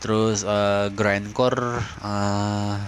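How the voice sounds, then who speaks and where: Noticeable background noise sits behind a man's voice. He speaks very slowly at a fairly low pitch. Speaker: podcast host. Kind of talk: casual monologue. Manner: halting; casual.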